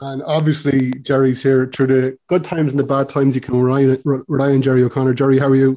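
A man with a medium pitch and dark, mellow tone talks very fast in a flat monotone, hardly pausing at all. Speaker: podcast host. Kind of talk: casual chat. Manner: chatty, fond of fillers.

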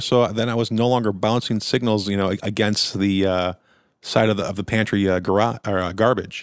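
On a very clean recording with a silent background, a man speaks at a moderate pace in an unremarkable speaking voice, medium in pitch with ordinary pitch variation. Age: middle-aged. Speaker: podcast co-host. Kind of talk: casual chat.

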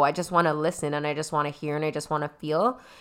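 A woman in a Toronto accent, fairly low-pitched, with a bright, sharp tone and a very fast pace, on a very clean recording with a silent background. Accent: Canadian (Toronto). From Toronto, Canada (Scarborough), Trinidadian family. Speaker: podcast host and founder of a community organization. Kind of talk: casual group discussion.

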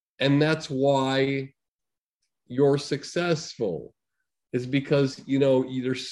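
With a medium pitch, this man has a plain, everyday voice. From Massachusetts, US. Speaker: comedy talent manager and producer. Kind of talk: casual interview chat.

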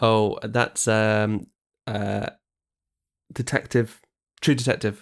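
A man's very slow, monotone, flat delivery with long, frequent pauses, on a very clean recording with a silent background. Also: fairly low pitch for a man. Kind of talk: casual chat.

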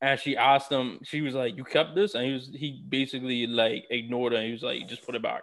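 Talking at a very fast pace with hardly any pauses, a man with a New York accent keeps a medium pitch and fairly even intonation. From New York City. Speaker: podcast co-host. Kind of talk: casual chat. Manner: halting, many fillers.

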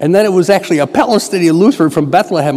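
Speaking very fast with an American accent, a man has a dark, mellow tone and ordinary pitch variation. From Western New York. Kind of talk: mission appeal talk in church.

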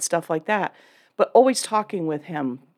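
This woman talks at a moderate pace with lively intonation. The recording is very clean, with a silent background. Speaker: women's ministry teacher. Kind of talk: casual chat. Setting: studio. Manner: calm, even-keeled.

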